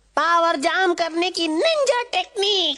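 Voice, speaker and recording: The pitch sits extremely high. The voice is a put-on character act. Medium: fan dub. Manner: fawning, timid.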